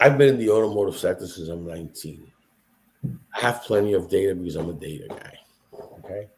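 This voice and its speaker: Speaking at a very fast pace yet with long, frequent pauses, a man with a fairly low, somewhat breathy voice uses lively intonation and big swings in loudness. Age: 60s. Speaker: podcast host, automotive industry veteran. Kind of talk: casual chat. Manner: animated.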